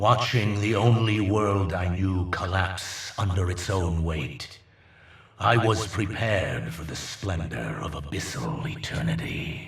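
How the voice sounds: A man's put-on character voice, low-pitched and fairly bright, with vocal fry, lively intonation and a slow pace.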